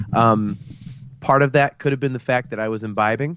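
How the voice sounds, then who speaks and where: A man at a fairly quick pace. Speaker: sports podcast co-host. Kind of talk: casual chat. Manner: loud.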